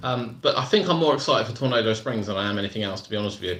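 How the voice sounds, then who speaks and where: A man talks at a very fast pace with a British accent. His intonation is lively. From southern England, Surrey. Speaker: theme park vlogger. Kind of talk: live stream chat. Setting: live stream from laptop. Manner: casual, repetitive.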